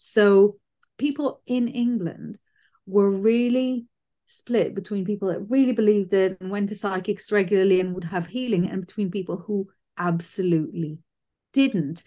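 At a moderate pace, a woman with a medium pitch speaks in a dark, mellow tone with ordinary pitch variation. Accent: British. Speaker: psychic medium. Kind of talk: casual interview chat. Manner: straight-talking, blunt.

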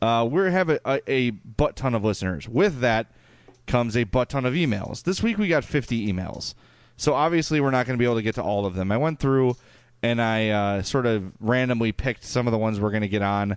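A man's fairly quick, medium-pitched voice with an American accent, lively intonation, very even loudness and a quiet background. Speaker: podcast host. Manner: casual, conversational.

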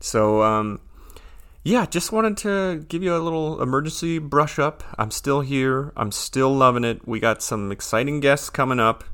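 In a bright, sharp, upbeat tone, a man of medium pitch talks with lively intonation. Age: 30s. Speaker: podcast host. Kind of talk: casual solo podcast update. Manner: upbeat, casual.

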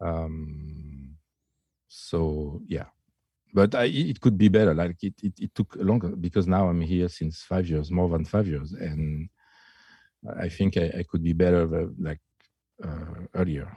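A man with a French accent speaks with a very deep, low pitch and a dark, mellow tone at a fairly slow pace with long, frequent pauses, in a dry, close sound with no echo over a quiet background. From France. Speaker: DJ and music producer. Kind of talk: casual chat. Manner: halting; shy.

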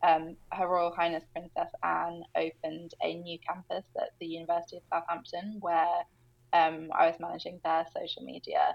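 In a British accent, a woman talks at a moderate pace. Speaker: agency founder and entrepreneur. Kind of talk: interview conversation.

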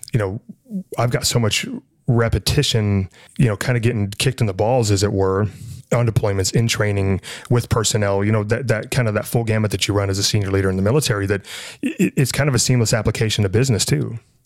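A man with an American accent talks very fast at a fairly low pitch, with fairly even intonation and very even loudness. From Montana, US (Libby). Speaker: business consultant and military veteran. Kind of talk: casual interview. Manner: halting, repeats words.

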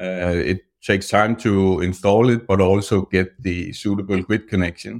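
On a very clean recording with a silent background, a man with a Danish accent and a fairly low pitch speaks at a moderate pace with fairly even intonation and hardly any pauses. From Denmark. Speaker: electric vehicle consultant. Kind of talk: interview. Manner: halting.

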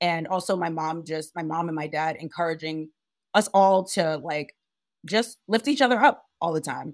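With an American accent, a woman uses an ordinary speaking voice that is fairly low, with ordinary pitch variation, on a very clean recording with a silent background. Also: moderate pace. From Providence, Rhode Island, US; Liberian family. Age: 30s. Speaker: on-air host and entertainment reporter. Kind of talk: casual interview.

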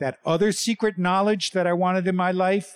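In a New York accent, a man speaks at a fairly slow pace, the sound dry and close with no echo. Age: 60s. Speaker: storyteller, former religious brother. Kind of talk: storytelling performance. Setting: theater stage with audience.

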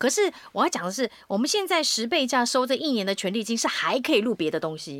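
At a fairly quick pace and with hardly any pauses, a woman with a high pitch talks in an animated tone full of very wide pitch swings. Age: middle-aged. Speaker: voice actor and podcast host. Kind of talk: casual chat.

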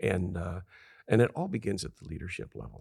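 With an American accent, a man speaks in a very deep, low pitch with vocal fry, in a dry, close sound with no echo. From Southern California desert farm town. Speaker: author and leadership consultant. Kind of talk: interview.

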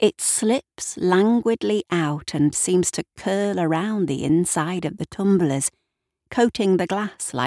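With the background quiet, the speaker reads aloud in a natural voice.

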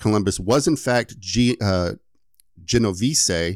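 Lively intonation marks this man's speech. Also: dry, close sound with no echo, very clean recording, silent background. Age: 30s. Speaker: podcast host and editor. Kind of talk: casual chat with story telling.

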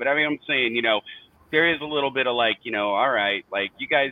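A man with an American accent talks at a very fast pace. There is noticeable background noise. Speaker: sports fan guest. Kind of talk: casual chat. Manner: animated.

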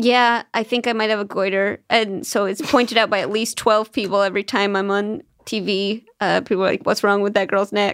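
A woman speaks in a plain, everyday voice at medium pitch, fairly quickly and with hardly any pauses. Her intonation is fairly even, and the recording is very clean with a silent background. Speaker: comedian. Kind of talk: casual chat.

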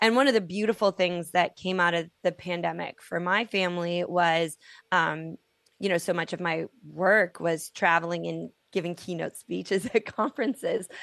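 An unremarkable speaking voice at a moderate pace, with ordinary pitch variation over a quiet background. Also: woman, fairly low pitch for a woman. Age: 40s. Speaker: author and storyteller. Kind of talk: interview.

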